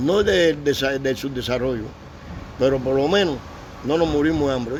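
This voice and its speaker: Audible room echo and noticeable background noise surround a man speaking at a moderate pace with a fairly high pitch and ordinary pitch variation. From Cuba. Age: 70s. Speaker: Cuban war veteran. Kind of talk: interview. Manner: halting.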